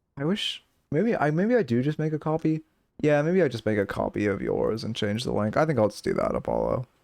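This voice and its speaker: A man talks quietly. His pace is fairly quick. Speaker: game coach streamer. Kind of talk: livestream coaching chat. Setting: live stream.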